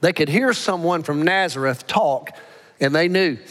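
The man talks with an American accent at a moderate pace. His pitch is high and his intonation lively. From Alabama. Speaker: pastor. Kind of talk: sermon. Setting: church.

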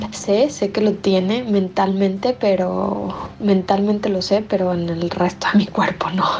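Against noticeable background noise, a woman with a medium pitch talks at a fairly slow pace with fairly even intonation. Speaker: caller. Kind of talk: voice message. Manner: gentle, sweet; halting, many fillers.

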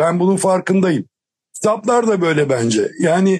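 Speaking at a fairly slow pace, a man has a high-pitched voice. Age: 60s. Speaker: panel guest. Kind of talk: panel discussion.

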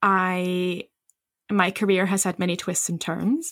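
Spoken at a very slow pace, this bright, sharp voice has fairly even intonation and a dry, close sound with no echo on a very clean recording with a silent background. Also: woman. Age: 40s. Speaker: midwife and podcast host. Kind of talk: casual chat.

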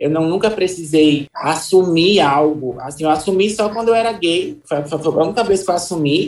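A woman talks at a moderate pace with hardly any pauses, in a normal speaking voice. Her pitch is fairly low, with ordinary pitch variation. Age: 30s. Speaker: journalist and activist. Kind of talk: interview.

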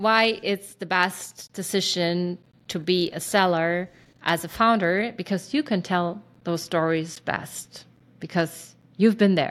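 A woman talks very slowly, her pitch varying in an ordinary way. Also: medium pitch for a woman, very clean recording, silent background. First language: German. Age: 40s. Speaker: startup founder. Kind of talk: interview.

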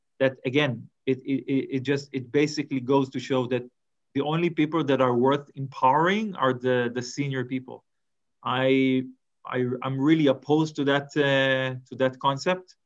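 Keeping fairly even intonation, a man speaks at medium pitch and a moderate pace. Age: 40s. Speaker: head of thought leadership, ghostwriter. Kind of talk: interview. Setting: video call. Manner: halting, frequent repetitions and fillers.

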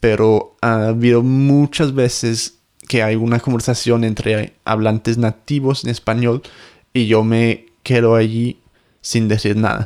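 The speech moves at a very slow pace with monotone, flat intonation. Loudness stays very even throughout. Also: man, medium pitch for a man. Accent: English. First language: English (speaking Spanish). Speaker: podcast host, language teacher. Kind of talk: casual chat; scripted intro.

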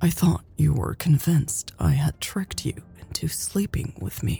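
A woman's whispered, put-on character voice with vocal fry, a husky, rough edge and a fairly slow pace

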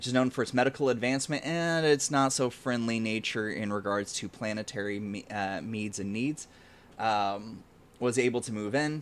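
A man with a plain, everyday voice, medium pitch, ordinary pitch variation and a moderate pace. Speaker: game master running the tabletop game. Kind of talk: tabletop roleplaying actual play, casual. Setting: online stream.

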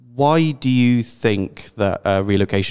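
This man talks in a British accent with ordinary pitch variation. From Britain. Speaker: podcast host. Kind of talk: interview.

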